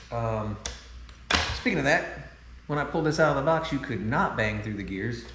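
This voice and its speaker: With audible room echo and noticeable background noise, a man speaks at a medium pitch with lively intonation and long, frequent pauses. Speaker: car enthusiast video host. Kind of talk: product review tutorial. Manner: fast; animated.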